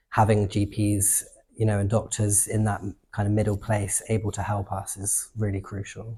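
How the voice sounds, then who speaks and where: Over a silent background in a very clean recording, a man speaks at a moderate pace in a fairly low, dark, mellow voice that is somewhat breathy, with monotone, flat intonation. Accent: southern English. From England. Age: 20s. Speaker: activist and artist. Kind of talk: interview answers. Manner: conversational with fillers.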